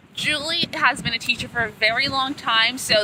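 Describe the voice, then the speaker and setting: A woman's high-pitched voice, with ordinary pitch variation at a moderate pace, over noticeable background noise. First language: Spanish. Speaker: language student. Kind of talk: casual chat. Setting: outdoors at the beach.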